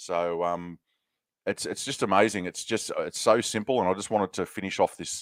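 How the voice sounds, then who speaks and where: On a very clean recording with a silent background and a dry, close sound free of echo, a man with an Australian accent speaks at a moderate pace in a fairly low voice with ordinary pitch variation. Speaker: podcast host. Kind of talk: casual interview chat.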